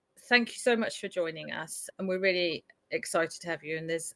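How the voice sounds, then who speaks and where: Speech comes at a very fast pace with ordinary pitch variation and a slight Leicestershire accent, the sound dry and close with no echo. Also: woman. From Leicestershire, England. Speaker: podcast host. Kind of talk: interview.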